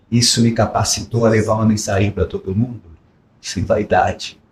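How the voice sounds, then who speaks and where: At a fairly slow speed, the voice comes out somewhat breathy. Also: man. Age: 60s. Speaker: sales motivation speaker. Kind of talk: podcast interview. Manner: animated.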